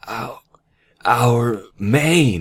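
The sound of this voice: Using a put-on character voice, a man talks at a very slow pace with lively intonation. His medium-pitched voice has a slightly husky edge.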